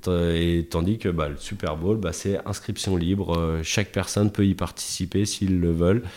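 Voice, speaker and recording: A man's very deep, low voice at a moderate pace, with fairly even intonation, hardly any pauses, and a very clean recording with a silent background. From Chablais, Haute-Savoie, France. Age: 30s. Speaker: football freestyler. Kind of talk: casual interview.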